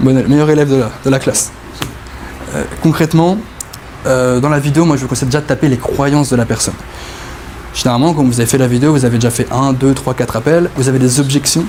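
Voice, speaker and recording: A man at a medium pitch talks at a very fast pace yet with long, frequent pauses, fairly even intonation and very even loudness, over noticeable background noise. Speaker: sales closing coach. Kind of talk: group coaching masterclass.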